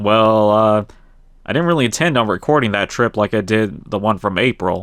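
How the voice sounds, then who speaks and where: The recording is very clean, with a silent background, and a man speaks with an ordinary speaking voice at a fairly low pitch. His pace is moderate, with ordinary pitch variation. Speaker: travel vlogger. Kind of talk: scripted narration.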